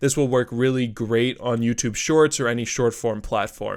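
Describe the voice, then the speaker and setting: A man speaks in a normal speaking voice at medium pitch and a fairly quick pace. The recording is very clean, with a silent background. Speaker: tutorial presenter. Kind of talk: tutorial.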